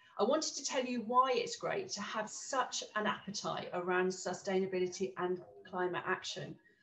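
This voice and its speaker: Noticeable background noise runs beneath a woman talking at a medium pitch. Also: moderate pace. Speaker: university senior leader. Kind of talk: welcome speech. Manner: halting, repeats words.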